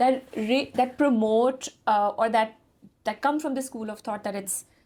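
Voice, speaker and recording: With an ordinary speaking voice, a woman talks at a fairly slow pace in a fairly high pitch, using fairly even intonation and big swings in loudness. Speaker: fitness company founder and podcast host. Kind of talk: podcast interview host. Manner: code-switching between English and Urdu.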